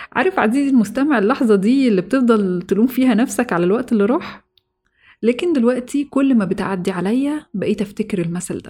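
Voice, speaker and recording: With a Cairo accent, the speaker goes at a fairly quick pace, with lively intonation and a calm, warm tone that is also dark and mellow. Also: woman, fairly high pitch for a woman. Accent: Egyptian Arabic (Cairene). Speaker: podcast host. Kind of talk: motivational monologue.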